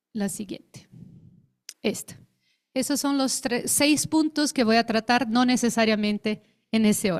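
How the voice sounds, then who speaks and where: Dry and close with no echo, a woman with a Brazilian accent speaks at a fairly slow pace and fairly high pitch with ordinary pitch variation and long, frequent pauses. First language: Portuguese (speaking Spanish). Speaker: actress and theatre researcher. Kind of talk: conference talk. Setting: conference panel with audience. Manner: formal.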